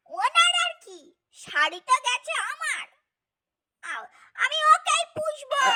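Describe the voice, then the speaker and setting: A woman's put-on character voice, extremely high in pitch with very wide pitch swings, at a fairly slow pace, in a dry, close sound with no echo. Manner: stammering, agitated.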